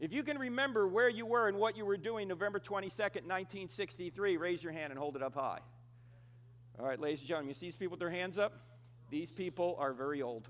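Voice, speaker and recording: With an American accent, the speaker talks at a very fast pace in an animated tone, with very wide pitch swings. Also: man, high pitch for a man. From New Jersey, US. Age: 60s. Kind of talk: conference talk to live audience. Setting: stage with audience.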